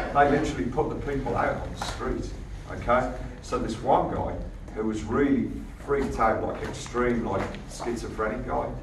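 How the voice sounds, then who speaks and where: Noticeable background noise sits behind a man talking at a moderate pace. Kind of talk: informal talk to an audience. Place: hall. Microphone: camera far.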